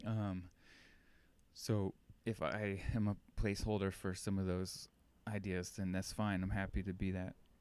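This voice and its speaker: At a moderate pace, the soft-spoken voice keeps a monotone, flat intonation and very even loudness, broken by long, frequent pauses. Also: man. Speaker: podcast host. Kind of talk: casual monologue. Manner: halting.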